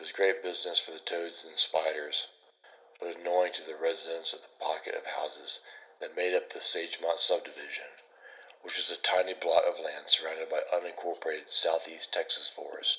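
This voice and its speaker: A man speaks at a fairly quick pace with big swings in loudness, over noticeable background noise. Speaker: horror story narrator. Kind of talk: read horror story.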